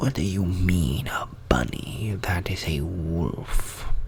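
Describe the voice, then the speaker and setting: A man uses a put-on character voice with a very deep, low pitch. He speaks at a very slow pace. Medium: solo performance.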